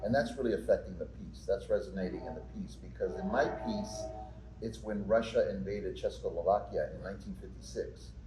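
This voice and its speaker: A man is speaking with audible room echo. Music plays in the background. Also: fairly quick pace. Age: 60s. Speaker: actor and playwright. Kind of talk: interview. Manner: halting, with many repeated words.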